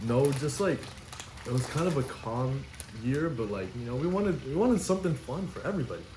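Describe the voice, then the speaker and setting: Lively in intonation, a man talks at a fairly quick pace amid noticeable background noise and audible room echo. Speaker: podcast co-host. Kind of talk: casual chat.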